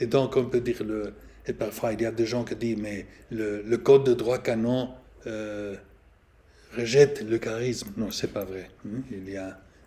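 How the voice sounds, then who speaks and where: A man's dark, mellow voice at a fairly slow pace, with fairly even intonation, big swings in loudness and long, frequent pauses. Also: medium pitch for a man. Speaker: priest and canon law professor. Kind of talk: lecture. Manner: halting.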